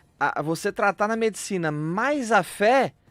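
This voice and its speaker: With an interior São Paulo accent, a man speaks at a high pitch with lively intonation. The sound is dry and close with no echo, on a very clean recording with a silent background. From interior of São Paulo state, Brazil. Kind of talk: radio interview. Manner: playful, light.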